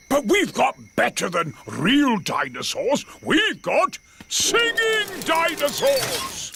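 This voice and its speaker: In a cartoonish character voice, a man speaks at an extremely high pitch and a very slow pace. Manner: hearty, showman-like.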